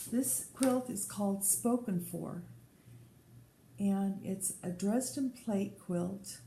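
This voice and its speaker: With an American accent, a woman speaks at a medium pitch in a dark, mellow tone, somewhat breathy, with ordinary pitch variation and audible room echo. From Colorado. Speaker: podcast host. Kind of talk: casual chat.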